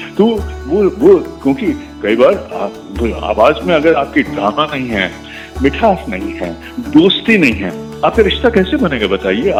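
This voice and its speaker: Music plays in the background as a man speaks with long, frequent pauses. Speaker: radio broadcaster. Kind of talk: interview answer.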